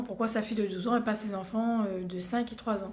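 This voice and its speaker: The speech moves at a moderate pace in a monotone, flat intonation, with audible room echo. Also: woman. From Réunion. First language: Réunion Creole (speaking French). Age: 30s. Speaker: beauty vlogger. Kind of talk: casual vlog introduction. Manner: hesitant, many fillers.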